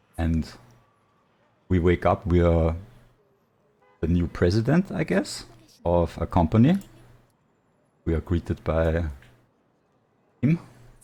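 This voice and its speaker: A man with a very deep, low pitch and a non-native accent speaks at a fairly slow pace. His tone is dark and mellow, with ordinary pitch variation and long, frequent pauses. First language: not English. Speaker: gaming YouTuber. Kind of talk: unscripted game story narration. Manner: halting, many fillers; casual, improvised.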